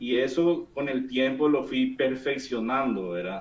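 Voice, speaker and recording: Over background music, a man talks at a fairly slow pace with ordinary rises and falls in pitch. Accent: Paraguayan. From Paraguay, interior. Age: 40s. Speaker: engineer giving testimony. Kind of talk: testimony. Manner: halting.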